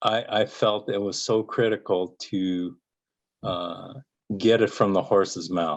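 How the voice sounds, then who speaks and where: Fairly low-pitched male voice, very slow pace, fairly even intonation, quiet background. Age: 60s. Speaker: cancer survivor. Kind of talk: interview. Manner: halting, many fillers and repetitions.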